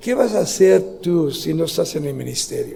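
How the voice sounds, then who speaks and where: This is a man speaking. Noticeable background noise and audible room echo surround him. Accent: non-native. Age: 70s. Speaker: pastor. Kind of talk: sermon. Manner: halting.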